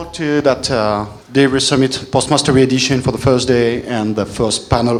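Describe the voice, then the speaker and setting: Someone talks very fast in a French accent with fairly even intonation. Noticeable background noise and audible room echo fill the recording. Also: man. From France. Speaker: panel moderator. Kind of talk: panel discussion. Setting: stage with audience.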